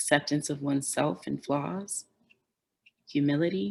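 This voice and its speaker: A very deep, low female voice in an American accent at a fairly slow pace. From Detroit, Michigan. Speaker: farmer, educator. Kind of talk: conference keynote speech.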